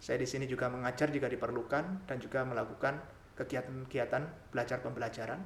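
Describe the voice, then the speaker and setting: Over audible room echo, a man with a medium pitch talks at a very fast pace. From Java, Indonesia (village). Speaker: doctoral student and channel creator. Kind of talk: channel introduction monologue. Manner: formal.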